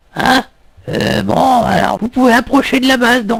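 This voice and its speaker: A man speaks at a moderate pace in a cartoonish character voice with an extremely high pitch. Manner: casual, slangy.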